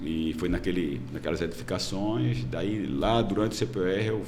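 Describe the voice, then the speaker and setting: A man's voice, set at a moderate pace, carries audible room echo. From Brazil, Pernambuco (Recife). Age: 60s. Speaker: politician, retired military police colonel. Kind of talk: podcast interview. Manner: hesitant, many fillers.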